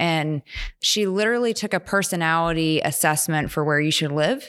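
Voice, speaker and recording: An ordinary speaking voice, a woman's fairly low pitch with an American accent, lively intonation and a moderate pace on a very clean recording with a silent background. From West Virginia / Pittsburgh area. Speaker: business professor. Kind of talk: casual chat. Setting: studio.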